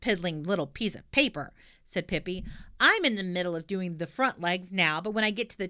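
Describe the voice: Read aloud plainly, the voice shows ordinary pitch variation.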